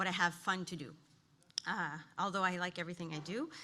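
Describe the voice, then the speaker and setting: The voice is shaky and nervous, with a bright, sharp tone. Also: woman. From New Brunswick, Canada. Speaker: occupational therapist. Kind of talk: conference presentation. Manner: shaky, nervous voice; halting, many fillers.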